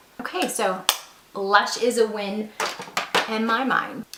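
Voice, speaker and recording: Over noticeable background noise, a woman with a fairly high pitch sounds enthusiastic. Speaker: beauty YouTuber. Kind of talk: product review. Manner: chatty, enthusiastic.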